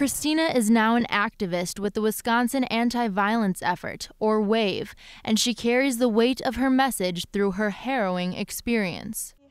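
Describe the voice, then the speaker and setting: A woman with an unremarkable speaking voice, fairly high-pitched, with ordinary pitch variation, a moderate pace and very even loudness, on a very clean recording with a silent background. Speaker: TV news reporter. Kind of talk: TV news report.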